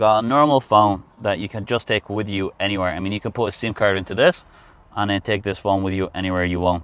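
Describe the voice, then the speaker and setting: The speaker has a non-native accent. The pace is very fast. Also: man, fairly low pitch for a man. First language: not English. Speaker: car reviewer. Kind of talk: casual car review. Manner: halting, with fillers.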